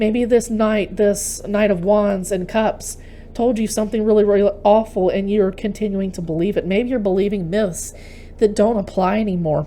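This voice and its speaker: A woman talks at a moderate pace in an American accent, with noticeable noise in the background. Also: medium pitch for a woman. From Texas. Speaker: tarot reader. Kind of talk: tarot reading monologue. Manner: animated.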